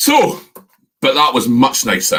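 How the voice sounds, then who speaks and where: This man has a Scottish accent and a high pitch. His pitch swings very widely. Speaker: whisky reviewer. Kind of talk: live stream tasting chat. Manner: animated.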